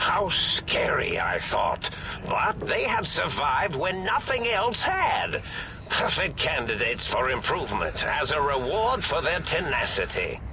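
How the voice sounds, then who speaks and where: Over loud background noise, a man puts on a character voice and speaks at a fairly slow pace. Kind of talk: retro sci-fi mad scientist. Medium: game stream. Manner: rambling, absent-minded, giggly.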